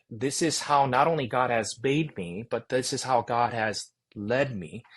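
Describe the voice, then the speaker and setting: Against a quiet background, a man speaks with an American accent. His pace is fairly slow and his intonation lively. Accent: American English, near-native. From Korea, immigrated to US at about 10. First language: Korean. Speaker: seminary president. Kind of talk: interview conversation. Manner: loud.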